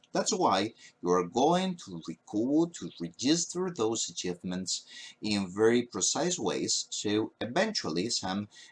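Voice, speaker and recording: Speaking very slowly with a Spanish accent, a man's voice makes very wide pitch swings. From Spain. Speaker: university professor. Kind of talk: lecture. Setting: recorded at a webcam. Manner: hesitant, frequent fillers.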